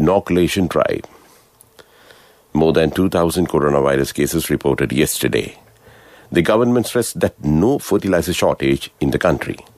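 The speaker's intonation is lively, and the sound is dry with no echo against a quiet background. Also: man. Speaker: radio newsreader. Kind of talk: news reading. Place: studio.

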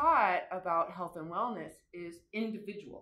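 Here a woman speaks with ordinary pitch variation. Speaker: course instructor. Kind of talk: lecture. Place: classroom. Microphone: camera far.

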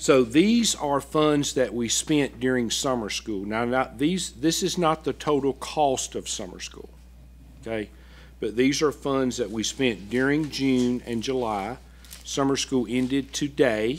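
His delivery is fairly slow, and the man's pitch shifts in an ordinary way. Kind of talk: presentation to a board. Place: meeting room. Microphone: podium.

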